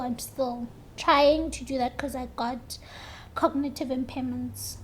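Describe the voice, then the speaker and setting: Noticeable background noise sits behind a woman talking at a very slow pace in a high pitch. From South Africa, Polokwane. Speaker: lupus patient interviewee. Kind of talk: interview.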